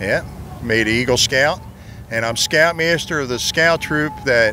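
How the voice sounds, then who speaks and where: A man with an American accent talks at a fairly slow pace and a medium pitch. His pitch varies in an ordinary way, and background noise is noticeable. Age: 60s. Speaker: scoutmaster. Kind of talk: casual interview. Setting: outdoors at historic fort.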